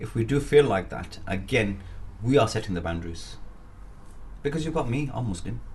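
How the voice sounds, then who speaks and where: A man of medium pitch talks at a fairly quick pace with vocal fry, lively intonation, and long, frequent pauses, with audible room echo. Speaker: business networker, boxer and aspiring politician. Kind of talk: interview. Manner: energetic.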